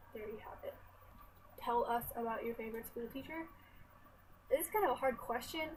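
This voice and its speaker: A soft-spoken woman with a high pitch talks at a moderate pace, her intonation lively, her loudness shifting widely and her pauses long and frequent. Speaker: college student. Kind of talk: casual talk to camera. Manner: quiet, soft-spoken.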